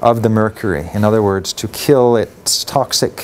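A man uses a plain, everyday voice with fairly low pitch and ordinary pitch variation. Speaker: conference presenter. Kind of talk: lecture. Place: hall.

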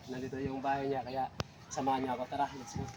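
Male speech, fairly high-pitched, with clear background noise. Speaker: fisherman vlogger. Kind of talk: casual vlog talk to camera. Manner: hesitant, many fillers.

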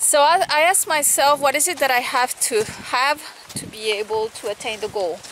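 A woman's high voice with lively intonation at a moderate pace, dry with no echo over light background noise. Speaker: equestrian vlogger and riding coach; equestrian vlogger. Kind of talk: casual vlog talk to camera. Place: farm. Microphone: phone near.

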